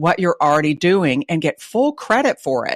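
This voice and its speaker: A woman with a Texas accent talks at a fairly quick pace in a fairly low pitch. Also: dry, close sound with no echo, very clean recording, silent background. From Texas (Dallas). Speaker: retail advisor. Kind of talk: interview.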